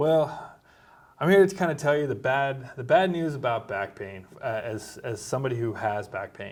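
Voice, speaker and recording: Using an ordinary speaking voice, a man talks at a moderate pace with medium pitch and lively intonation. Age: 40s. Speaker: doctor and military veteran. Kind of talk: casual chat.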